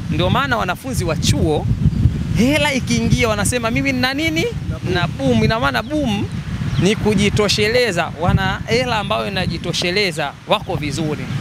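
A man speaks with a Tanzanian accent at a moderate pace. The sound is dry with no echo, but background noise is loud. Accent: Tanzanian Swahili. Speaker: football fan. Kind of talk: casual chat. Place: street. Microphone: handheld.

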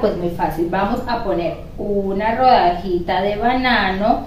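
A woman speaks at a slow pace. Room echo can be heard.

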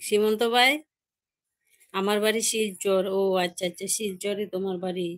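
Against a quiet background, a woman with an unremarkable speaking voice talks in a medium pitch with fairly even intonation. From Tripura, India (Amarpur); Tripura. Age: 60s. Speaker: live-streaming vlogger. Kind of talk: live stream chat reading viewer comments. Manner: repetitive, chatty. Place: home room. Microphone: phone near.

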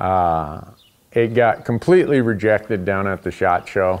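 Fairly low in pitch, a man speaks at a fairly slow pace. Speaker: outdoor show host. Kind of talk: interview answer. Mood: relaxed, amused. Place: garage. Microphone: lapel.

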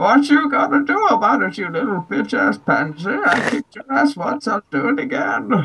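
A man projects a raised voice at a moderate pace, his pitch extremely high. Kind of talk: comic villain impression. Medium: game stream. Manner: blustering, mocking, belligerent.

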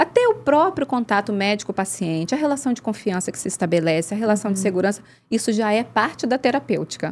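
Very fast and lively in intonation, a woman speaks at a fairly high pitch. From Rio de Janeiro state, Brazil. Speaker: doctor, intensive care and nutrition specialist. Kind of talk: casual interview chat. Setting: studio. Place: studio. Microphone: studio mic.

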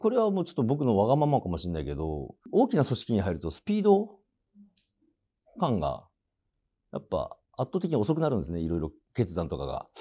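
A man talks at a fairly quick pace. He leaves long, frequent pauses, and the background is quiet. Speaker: comedian acting in a TV commercial as a salaryman. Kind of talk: casual interview answer about the commercial shoot. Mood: calm, low-key, modest. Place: studio.

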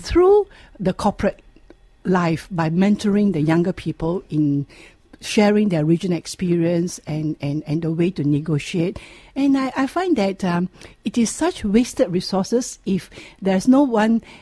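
A woman's somewhat breathy voice has a dark, mellow tone, recorded dry with no echo against a quiet background. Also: lively intonation, moderate pace. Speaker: radio guest. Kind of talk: interview answer. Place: studio.

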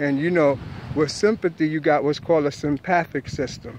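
A man with a New York accent, fairly high in pitch, with fairly even intonation, a dry sound with no echo and light background noise. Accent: New York (Bronx). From New York, the Bronx. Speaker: spiritual teacher vlogger. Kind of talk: monologue lecture. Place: street. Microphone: phone near.

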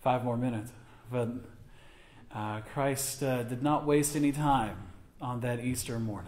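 A man speaks in a somewhat breathy voice. His pace is moderate. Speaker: pastor. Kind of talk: prayer then welcome remarks. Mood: solemn then warm. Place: church. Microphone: podium.

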